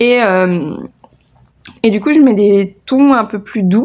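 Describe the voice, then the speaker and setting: A woman's fairly high voice unfolds at a very slow pace, its pitch shifting by ordinary amounts. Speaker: knitting youtuber. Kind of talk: casual chat. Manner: loud; hesitant, many fillers.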